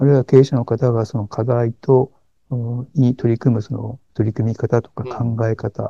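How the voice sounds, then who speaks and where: Recorded with a dry, close sound and no echo, a man talks at a moderate pace and medium pitch, his tone dark and mellow, his intonation fairly even. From Niigata, Japan. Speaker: executive coach. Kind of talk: interview. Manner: frequent fillers and hesitations.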